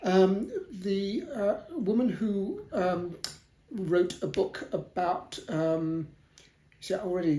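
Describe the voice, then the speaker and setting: Very slow and dark, mellow in tone, a man talks in a southern English accent at a high pitch with ordinary pitch variation. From South London, England. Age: 70s. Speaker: historian. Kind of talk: interview. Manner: hesitant, many fillers.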